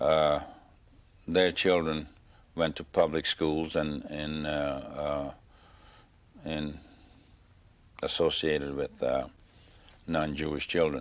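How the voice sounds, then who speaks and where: Slowish and very deep, a man's voice comes through in a Hungarian accent. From Hungary, Tokaj area. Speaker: Holocaust survivor. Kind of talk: oral history interview. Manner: halting, many fillers.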